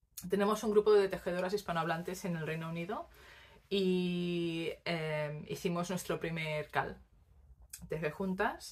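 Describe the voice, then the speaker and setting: A woman speaks with fairly even intonation. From Spain, Barcelona; Catalonia, Spain. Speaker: knitting podcaster. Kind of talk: casual monologue to camera; casual vlog chat. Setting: home recording on tripod. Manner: hesitant, many fillers. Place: home room. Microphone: phone near.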